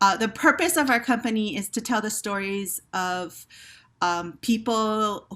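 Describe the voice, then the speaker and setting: A woman speaks at a fairly slow pace with a fairly high pitch, ordinary pitch variation and a bright, sharp tone, in a very clean recording with a silent background. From Hawaii. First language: Hawaii Pidgin Creole. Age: 50s. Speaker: theater company director. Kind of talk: panel discussion.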